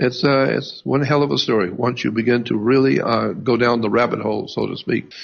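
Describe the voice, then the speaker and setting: With vocal fry and ordinary pitch variation, a man speaks at a moderate pace. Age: 70s. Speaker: radio host. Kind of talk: radio monologue. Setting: live radio show. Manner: hesitant, with many uh fillers and restarts.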